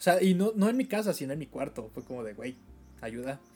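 With a Mexican accent, a man speaks at a high pitch with a dark, mellow tone. His pace is fairly quick and his intonation lively. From Mexico. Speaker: podcast host. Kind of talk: casual chat.

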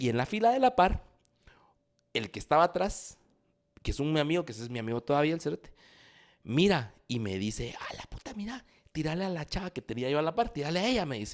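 In a Guatemalan accent, a man speaks at a very fast pace with an animated tone. His fairly high pitch moves through very wide swings. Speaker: podcast co-host. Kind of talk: casual chat.

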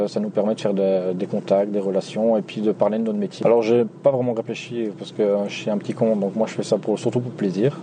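A man's fairly low voice at a fairly quick pace, with ordinary pitch variation and noticeable background noise. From Belgium, Nivelles (Walloon Brabant). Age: 20s. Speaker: taxi driver. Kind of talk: storytelling interview.

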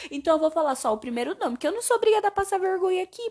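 A woman speaks in an animated tone. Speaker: podcaster reviewing films. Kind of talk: casual monologue. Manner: animated, chatty.

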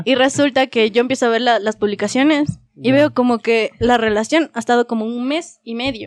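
Speaking at a fairly quick pace with hardly any pauses, a woman uses a high pitch with ordinary pitch variation in a dry, close sound with no echo. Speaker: podcast host. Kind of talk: casual chat among friends.

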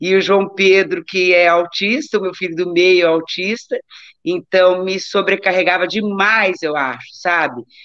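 A woman with a normal speaking voice and medium pitch talks at a fairly slow pace. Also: ordinary pitch variation. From Brazil, Taubaté (São Paulo state). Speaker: doctor and amateur athlete. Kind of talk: casual interview chat.

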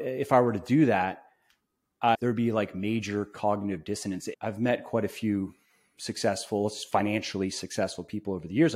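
On a very clean recording with a silent background, a man in a plain, everyday voice speaks at a fairly quick pace, fairly low in pitch with ordinary pitch variation. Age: 30s. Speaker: supplement company owner and fitness author. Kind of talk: casual interview.

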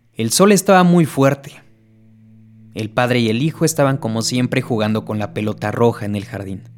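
Music plays in the background. A man speaks at a moderate pace with lively intonation. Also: medium pitch for a man. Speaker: creepypasta storyteller. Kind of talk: horror story narration, bedtime ghost-story style, scripted reading.

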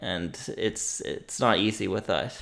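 Someone with a Nova Scotian accent is heard in a very clean recording with a silent background. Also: man. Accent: rural Nova Scotian English. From Nova Scotia, Annapolis Valley. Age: 20s. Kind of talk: casual interview. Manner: halting, repeats words.

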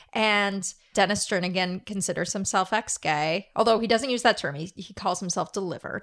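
A woman with an unremarkable speaking voice talks at medium pitch, a fairly quick pace and ordinary pitch variation. She leaves hardly any pauses, and the recording is very clean with a silent background. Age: 30s. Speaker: podcast co-host. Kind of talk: casual chat.

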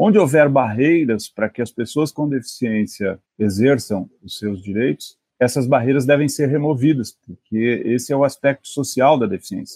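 A man talks at a moderate pace with hardly any pauses, his medium-pitched voice dark and mellow in tone. Pitch varies in an ordinary way, and the sound is dry and close with no echo. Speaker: appeals court judge. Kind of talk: interview.

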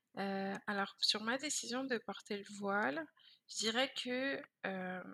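A woman's fairly high voice with a bright, sharp tone and ordinary pitch variation. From France, Paris suburbs (Val-de-Marne). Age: 20s. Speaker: entrepreneur. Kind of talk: interview.

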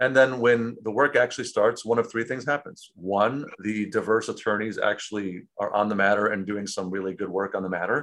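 A man with an American accent and a plain, everyday voice, medium-pitched with ordinary pitch variation, at a fairly quick pace. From Chicago, South Side. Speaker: tech company founder. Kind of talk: interview.

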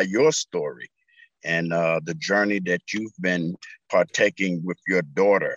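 In a quiet background, a man with an American accent talks at a fairly slow pace in a very deep, low pitch. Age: 80s+. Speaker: former pro basketball showman, foundation head. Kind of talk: interview conversation. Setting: video call.

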